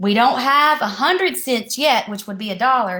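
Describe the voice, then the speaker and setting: With an American accent, a woman uses a high, bright, sharp voice, raised and projected, in an animated, playful tone with very wide pitch swings. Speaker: elementary school teacher. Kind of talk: video lesson for young children. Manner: slow, deliberate.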